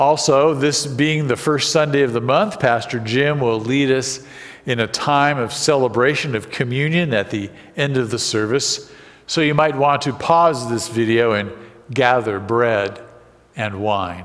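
A man talks at a fairly slow pace. His pitch shows ordinary variation. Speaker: worship leader. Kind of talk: formal announcements. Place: church.

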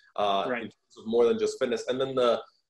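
Over a quiet background, a man's voice carries audible room echo. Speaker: podcast guest, fitness coach. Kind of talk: interview answer. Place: home room. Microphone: video call.

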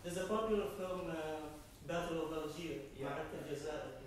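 Strong room echo fills the recording. Light background noise is also audible. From Syria. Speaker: audience member. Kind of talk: audience question. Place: meeting room. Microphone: camera far.

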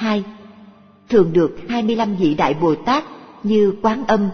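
A woman's voice over faint background music. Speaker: audiobook narrator. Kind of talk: reading of a religious text.

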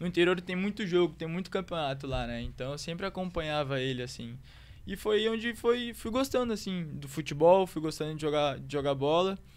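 The man speaks in a high pitch with ordinary pitch variation. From Rio Grande do Sul, Brazil (Santo Antônio da Patrulha); Rio Grande do Sul, Brazil. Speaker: footballer; guest. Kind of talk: casual chat. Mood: relaxed, warm storytelling. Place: studio. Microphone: studio mic.

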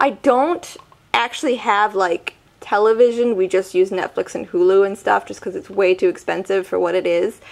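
Moderately paced speech with an American accent swings very widely in pitch over noticeable background noise. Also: woman. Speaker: beauty vlogger. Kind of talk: product review vlog. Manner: casual, filler-heavy.

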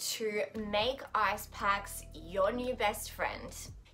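Faint music plays in the background as a woman talks. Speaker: vlogger. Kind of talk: casual vlog chat, tips. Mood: friendly, upbeat advice. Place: home room. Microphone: phone near.

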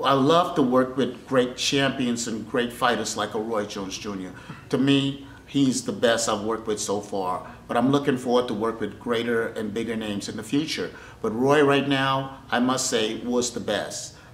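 A man talks at a moderate pace with fairly even intonation. Room echo is audible. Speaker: boxing trainer. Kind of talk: interview answer. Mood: warm, appreciative. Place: gym.

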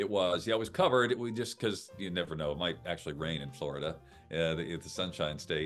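A man talks at a very fast pace. His pitch is very deep and low, with faint music in the background. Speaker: game show announcer and voice actor. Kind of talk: casual interview answer over video call. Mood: cheerful, friendly. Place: home room. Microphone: video call.

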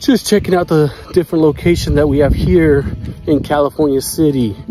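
Clear music plays in the background. The voice has ordinary pitch variation and a dry sound with no echo. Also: man. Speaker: explorer vlogger. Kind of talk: casual vlog chat. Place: open country.

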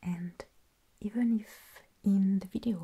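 A woman speaks in a somewhat breathy voice. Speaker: video host. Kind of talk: soft-spoken tutorial narration. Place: home room.

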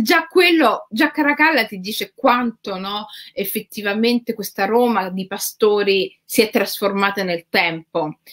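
At a moderate pace, a woman talks with lively intonation and a fairly high pitch in a dry, close sound with no echo. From Rome, Italy. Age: 40s. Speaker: writer. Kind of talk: interview conversation. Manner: halting, many fillers.

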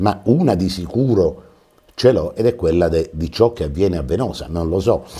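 The pitch swings very widely at a fairly slow pace. The background is quiet. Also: man. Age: 60s. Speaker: TV talk show host. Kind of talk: TV interview. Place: studio. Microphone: lapel.

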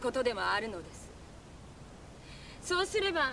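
A woman is talking, and light background noise can be heard. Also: dry sound with no echo. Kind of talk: scripted drama dialogue. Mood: calm, soothing, gently teasing. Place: waterside.

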